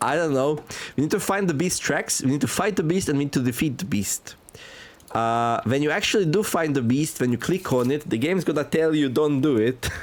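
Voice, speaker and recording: Speaking at a fairly quick pace with a non-native accent, this voice has ordinary pitch variation and very even loudness. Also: man, fairly high pitch for a man. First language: not English. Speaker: gaming youtuber. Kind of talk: gameplay commentary. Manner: casual, many filler words.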